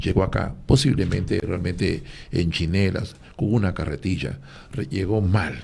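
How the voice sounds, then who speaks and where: A man speaks at a fairly low pitch against noticeable background noise. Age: 60s. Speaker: former athlete and religious speaker. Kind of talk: radio panel discussion.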